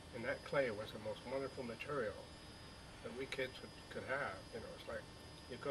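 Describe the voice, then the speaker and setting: A man talks at a medium pitch with an American accent and fairly even intonation. Noticeable background noise runs under the recording. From Burlington, Vermont, US New England. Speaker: elderly interviewee recalling childhood. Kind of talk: oral history interview. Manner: halting, many fillers and repeats.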